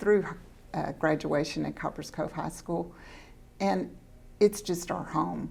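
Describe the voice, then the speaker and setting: A woman with a Texan accent speaks at a fairly slow pace, leaving long, frequent pauses. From Central Texas. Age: 70s. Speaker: school board trustee. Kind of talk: interview.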